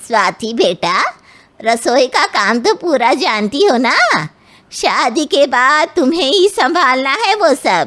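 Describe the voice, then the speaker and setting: In a cartoonish character voice, a woman speaks high and fairly slowly, with very wide pitch swings and very even loudness. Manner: bossy.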